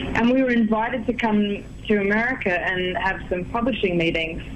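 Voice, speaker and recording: The speaker has a strong Australian accent and ordinary pitch variation, heard with audible room echo. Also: woman. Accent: Australian, thick. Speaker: singer-songwriter. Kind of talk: radio interview.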